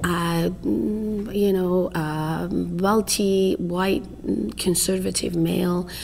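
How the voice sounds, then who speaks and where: Over noticeable background noise, a woman speaks with an Iranian accent. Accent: foreign accent (Iranian). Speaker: family therapist and professor. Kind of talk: interview. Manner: halting.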